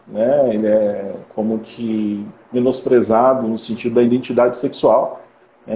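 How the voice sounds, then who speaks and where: A man talks with noticeable noise in the background. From interior of Rio de Janeiro state, Brazil. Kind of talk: live-stream interview.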